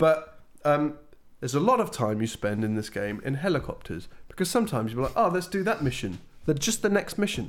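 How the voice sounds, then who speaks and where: Very fast and with very wide pitch swings, a man speaks at a fairly high pitch. He has a British accent. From Britain. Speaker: video game podcast co-host. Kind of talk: casual chat.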